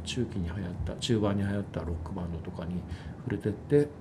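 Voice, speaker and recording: A man talks at a very fast pace with a fairly low pitch and a dark, mellow tone. His voice is somewhat breathy, with ordinary pitch variation and audible room echo. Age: 50s. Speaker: music company executive. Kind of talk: casual chat. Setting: office.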